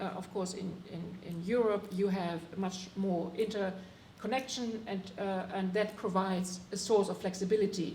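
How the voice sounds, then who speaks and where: Amid noticeable background noise and audible room echo, a woman speaks at medium pitch and a moderate pace in a monotone, flat delivery with hardly any pauses. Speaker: climate policy advisor, panelist. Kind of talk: panel discussion. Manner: halting, many fillers.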